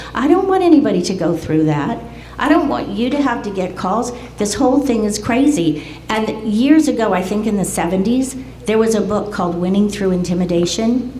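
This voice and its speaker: A woman talks at a moderate pace in a fairly high pitch with lively intonation. Noticeable background noise and audible room echo fill the recording. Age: 70s. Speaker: community member speaking at public meeting. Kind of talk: public comment at community meeting. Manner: animated.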